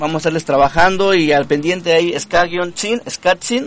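Using an ordinary speaking voice, a man talks at a moderate pace and a fairly high pitch with ordinary pitch variation. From Mexico, Puebla state. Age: 30s. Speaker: ska musician, band leader. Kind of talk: casual radio interview. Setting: live radio studio.

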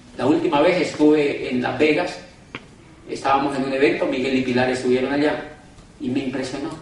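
A man with fairly high pitch talks at a fairly quick pace in a monotone, flat intonation, leaving long, frequent pauses. Noticeable background noise and audible room echo fill the recording. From Colombia, Cali. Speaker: motivational speaker, former university rector. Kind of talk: business opportunity presentation.

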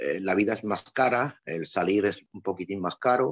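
A man speaks at a fairly low pitch and a fairly slow pace, with ordinary pitch variation. The sound is dry and close, with no echo. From Andalusia, Spain. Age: 60s. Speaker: electromechanical technician, emigrant worker. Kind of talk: interview. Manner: hesitant, many fillers and repetitions.

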